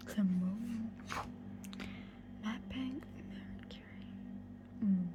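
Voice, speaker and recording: Whispering and soft-spoken, the speaker goes at a very slow pace with long, frequent pauses. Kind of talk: ASMR book walkthrough, casual talk to camera. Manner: soft-spoken, whispering.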